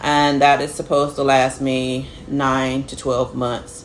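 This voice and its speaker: A woman's very deep, low-pitched voice over noticeable background noise. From United States. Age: 40s. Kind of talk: personal health vlog, casual talk to camera.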